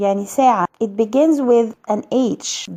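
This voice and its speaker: A woman with a plain, everyday voice, fairly high pitch, lively intonation and a fairly slow pace. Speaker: English teacher. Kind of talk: educational lesson to camera.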